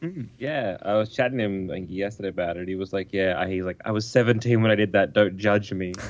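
In an Australian accent, the speaker moves at a fairly quick pace with hardly any pauses. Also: man, fairly low pitch for a man, ordinary pitch variation. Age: 30s. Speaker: podcaster. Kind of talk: casual chat. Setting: phone call.

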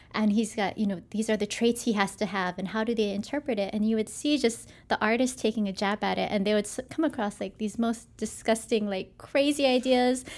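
An ordinary speaking voice at a fairly quick pace with hardly any pauses, on a very clean recording with a silent background. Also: woman, fairly high pitch for a woman. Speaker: graphic designer. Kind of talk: casual interview.

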